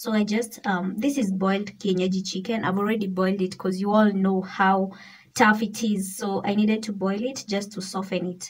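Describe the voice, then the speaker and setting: A woman talks at a moderate pace. Her voice is somewhat breathy. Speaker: cooking vlogger. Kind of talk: casual vlog chat. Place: kitchen. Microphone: phone near.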